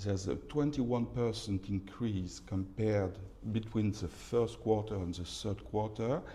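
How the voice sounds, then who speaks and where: Audible room echo surrounds a man's somewhat breathy voice with a dark, mellow tone. He speaks at a very slow pace, his pitch fairly low with ordinary variation. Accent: French. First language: French. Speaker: real estate market analyst. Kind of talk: conference presentation. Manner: halting, many fillers and repetitions.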